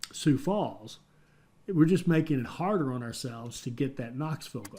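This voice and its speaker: A man with an American accent, a dark, mellow tone and a moderate pace. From West Virginia. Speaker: gaming YouTuber. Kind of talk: gameplay commentary. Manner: hesitant, many fillers and restarts.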